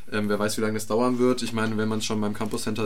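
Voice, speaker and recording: Flat, monotone intonation comes through with audible room echo. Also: man. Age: 20s. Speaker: student politician. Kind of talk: panel debate. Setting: radio studio.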